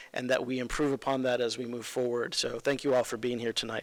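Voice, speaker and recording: This man has an American accent and a flat, monotone delivery. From Los Angeles, Mexican family. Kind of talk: speech at awards ceremony. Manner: hesitant, many fillers.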